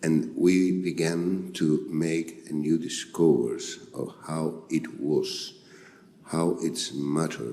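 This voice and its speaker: A man's very deep, low voice with a dark, mellow tone and a Spanish accent, at a very slow pace with audible room echo. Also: fairly even intonation. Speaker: physician. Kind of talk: conference talk. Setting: stage with audience. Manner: halting.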